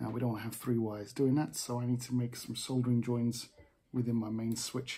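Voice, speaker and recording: A man's somewhat breathy voice with a dark, mellow tone. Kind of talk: tutorial. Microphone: phone near.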